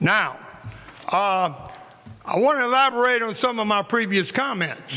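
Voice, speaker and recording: High-pitched for a man, his raised, projected voice carries lively intonation at a fairly slow pace. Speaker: city council member. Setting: council meeting. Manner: talks loud.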